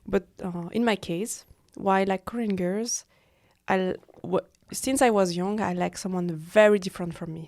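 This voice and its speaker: Her pitch medium with ordinary variation, a woman with a French accent speaks at a moderate pace. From French-speaking Switzerland. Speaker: freelance model. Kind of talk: casual chat. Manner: halting.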